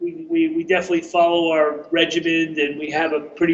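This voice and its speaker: With a slight New York accent, a man speaks at a fairly quick pace in a flat monotone, his pitch fairly high, against noticeable background noise. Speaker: chef and broth company owner. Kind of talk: interview.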